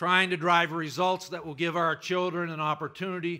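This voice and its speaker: The background is quiet while a man speaks at a moderate pace. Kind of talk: political speech. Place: hall. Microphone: podium.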